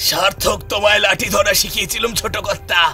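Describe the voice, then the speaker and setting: Putting on a character voice, a man speaks hoarsely in a raised, projected voice at a moderate pace, with faint music in the background. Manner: gleeful, defiant, rustic.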